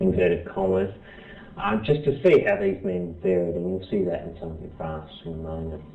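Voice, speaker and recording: With audible room echo and noticeable background noise, a man in an Australian accent speaks with ordinary pitch variation. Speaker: professor. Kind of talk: lecture. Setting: presentation to small group. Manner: halting, many fillers and restarts.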